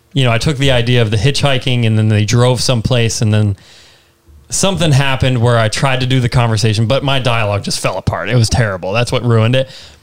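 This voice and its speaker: Against noticeable background noise, a man talks very fast with very even loudness. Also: medium pitch for a man, ordinary pitch variation. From Vermont. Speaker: podcast host. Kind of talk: casual interview.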